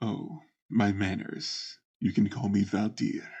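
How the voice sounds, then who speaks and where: A man does a raspy put-on character voice at a fairly low pitch. He speaks at a fairly slow pace. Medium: actual play. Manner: smooth, gracious, condescending.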